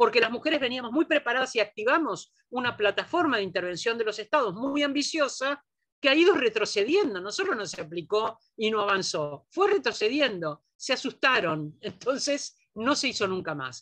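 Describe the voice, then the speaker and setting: Talking at a moderate pace, a woman leaves hardly any pauses. Her pitch is fairly high and swings very widely. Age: 60s. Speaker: feminist scholar, lecturer. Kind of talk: lecture Q&A.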